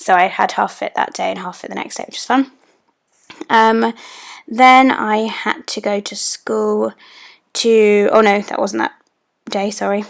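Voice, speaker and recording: Pausing long and often, a woman with a British accent speaks at a moderate pace. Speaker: planner YouTuber. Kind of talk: voiceover narration for a plan-with-me video. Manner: casual, many filler ums.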